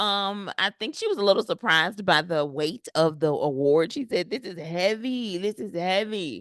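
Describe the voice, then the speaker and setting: Her tone animated and her intonation lively, a woman speaks at medium pitch and a moderate pace, in a dry, close sound with no echo and a quiet background. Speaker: YouTube commentary host. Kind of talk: casual commentary. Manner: filler-heavy.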